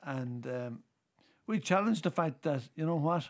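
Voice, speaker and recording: Lively in intonation, a man with an Irish accent speaks at a moderate pace in a very clean recording with a silent background. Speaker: politician. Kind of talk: casual chat.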